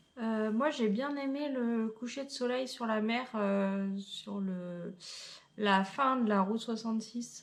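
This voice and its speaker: In a room with audible echo, a woman speaks very slowly at a fairly high pitch with ordinary pitch variation. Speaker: travel vlogger. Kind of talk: casual chat.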